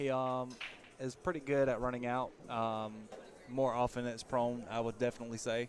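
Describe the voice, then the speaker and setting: Flat and monotone, a man with a Southern US accent talks at a medium pitch. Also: moderate pace. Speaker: pool table refurbisher and guest commentator. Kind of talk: casual chat.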